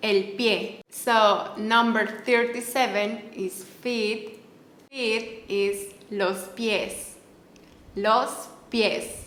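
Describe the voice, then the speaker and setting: Noticeable background noise sits behind a woman with a Mexican accent who speaks very slowly in a fairly high pitch and monotone, flat intonation. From Mexico. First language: Spanish. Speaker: Spanish teacher. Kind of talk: language tutorial. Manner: repetitive, slow enunciation of words.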